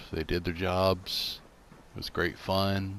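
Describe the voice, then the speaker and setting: A man speaks in a very deep, low voice. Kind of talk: narrated video game build tour. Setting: game console headset mic. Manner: stammering, rambling; casual, self-deprecating.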